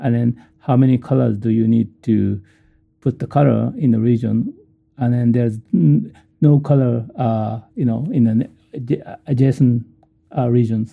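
A man's medium-pitched voice in a Japanese accent, moderate in pace with ordinary pitch variation and long, frequent pauses. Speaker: professor. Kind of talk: interview. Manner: halting.

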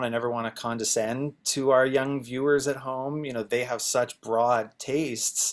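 Fairly even in intonation, an unremarkable speaking voice belongs to a man whose pitch sits in the middle range. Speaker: songwriter and producer. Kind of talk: panel discussion.

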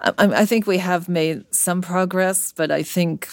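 In an American accent, a woman with a plain, everyday voice speaks at a moderate pace with ordinary pitch variation. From US, Brooklyn, New York. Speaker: cardiologist and medical journal editor. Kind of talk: interview.

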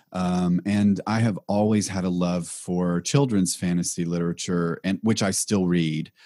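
A man with an American accent speaks fairly slowly in a very deep, low pitch, with hardly any pauses. His tone is dark and mellow, his intonation fairly even, and the recording very clean with a silent background. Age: 40s. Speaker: blogger and professional intuitive. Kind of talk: interview.

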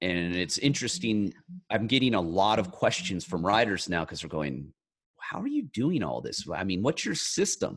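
With an American accent, a man talks at a moderate pace and a fairly low pitch. His pitch swings very widely against a quiet background. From rural California. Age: 40s. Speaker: self-help author. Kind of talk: interview.

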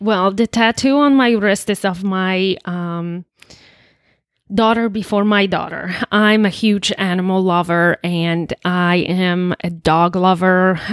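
Someone with a Polish accent speaks at a very slow pace with fairly even intonation, on a very clean recording with a silent background. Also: woman, medium pitch for a woman. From Poland. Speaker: recovering alcoholic sharing her story. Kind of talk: testimony.

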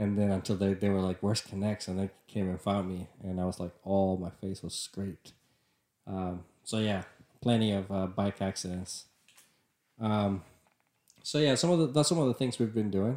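The speaker has a Spanish accent and a dark, mellow tone, with ordinary pitch variation. The pace is moderate, broken by long, frequent pauses. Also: man, fairly low pitch for a man. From Nicaragua. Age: 30s. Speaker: podcast host, civil engineer. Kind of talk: casual chat.

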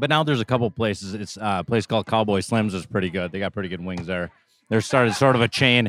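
A man with a Minnesotan accent talks at a very fast pace, his pitch fairly low with ordinary variation. The recording is very clean, with a silent background and a dry, close sound free of echo. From northern Minnesota. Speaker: guest taco reviewer. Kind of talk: casual chat.

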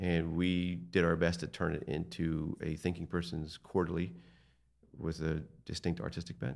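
Using vocal fry, a man with an American accent talks at a moderate pace in a very deep, low pitch, keeping his intonation fairly even. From eastern Pennsylvania, Lehigh Valley. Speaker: art gallery owner. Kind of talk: casual interview.

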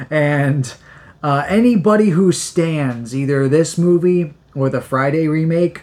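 Here a man talks in an ordinary speaking voice, fairly high in pitch. His pace is fairly slow, with ordinary pitch variation. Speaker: podcast co-host. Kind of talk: casual chat.

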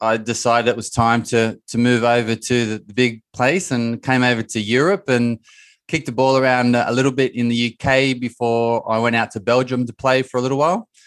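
Over a quiet background, a man at medium pitch talks at a fairly quick pace. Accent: Australian. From Australia. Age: 30s. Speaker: mindset coach and former footballer. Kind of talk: casual interview.

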